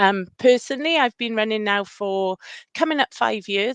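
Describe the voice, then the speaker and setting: This woman has a medium-pitched voice with a Welsh accent and talks at a moderate pace. The sound is dry and close with no echo, over a quiet background. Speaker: running club run leader. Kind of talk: casual chat.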